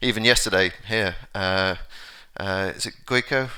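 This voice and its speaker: A man with an English accent speaks in a fairly low pitch with a bright, sharp tone and fairly even intonation, in a very clean recording with a silent background. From London, England. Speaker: conference speaker. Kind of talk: conference talk. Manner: halting, many fillers and repetitions.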